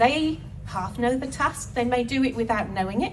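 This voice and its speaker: Amid noticeable background noise and audible room echo, a woman speaks at high pitch and a fairly slow pace. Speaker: wellness speaker. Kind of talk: talk to festival audience. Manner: animated.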